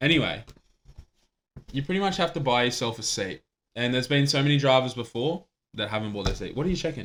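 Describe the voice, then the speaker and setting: With an Australian accent, a man talks at a very fast pace and medium pitch, his tone animated and his intonation lively, with long, frequent pauses. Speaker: podcast host. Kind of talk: casual chat.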